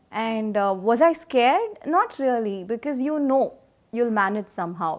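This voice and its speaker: Lively intonation in a woman's fairly high-pitched speech. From India, Karnataka. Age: young. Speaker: radio jockey. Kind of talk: interview answer.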